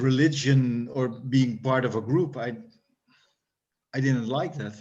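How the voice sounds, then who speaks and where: Amid audible room echo, a man with a Dutch accent speaks very slowly at a medium pitch, his intonation monotone and flat. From Netherlands. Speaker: hardcore punk musician. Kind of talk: interview. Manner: halting.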